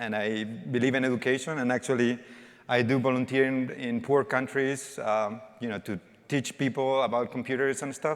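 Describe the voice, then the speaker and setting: A man with a Spanish accent, at a moderate pace and with fairly even intonation. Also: medium pitch for a man. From Spain. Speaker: developer evangelist. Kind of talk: conference talk. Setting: stage with audience. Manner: interactive, informal.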